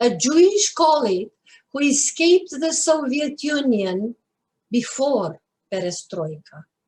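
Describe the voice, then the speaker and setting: Pitch swings are very wide. The woman talks at a very slow pace. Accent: Romanian. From Romania, Bucharest. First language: Romanian. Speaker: poet. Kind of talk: poetry reading.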